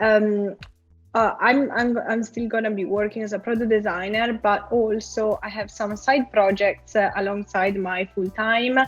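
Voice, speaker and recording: A woman's fairly high, monotone, flat voice at a fairly slow pace, with music in the background. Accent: Italian. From Italy. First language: Italian. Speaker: product designer. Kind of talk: interview.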